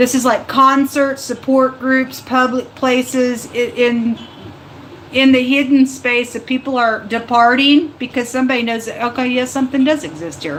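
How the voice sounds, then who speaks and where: A woman with a high pitch keeps her intonation fairly even despite noticeable background noise. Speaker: tarot reader. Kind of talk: live tarot reading. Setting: livestream. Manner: fast; halting.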